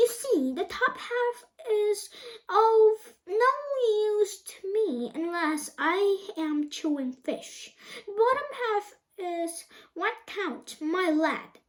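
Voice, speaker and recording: Very slowly, a woman performs a put-on character voice at an extremely high pitch. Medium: read story. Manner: boastful, showy.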